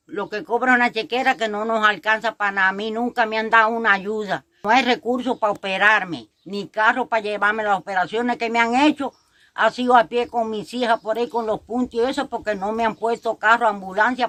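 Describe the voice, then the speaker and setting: Her fairly high-pitched voice has a bright, sharp tone and ordinary pitch variation, recorded dry and close with no echo. The woman talks at a fairly quick pace with hardly any pauses. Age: 70s. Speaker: elderly resident. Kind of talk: testimony.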